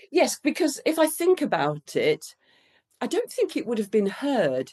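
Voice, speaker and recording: A woman's dark, mellow voice with vocal fry and very wide pitch swings. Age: 60s. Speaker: children's book author. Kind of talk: interview conversation.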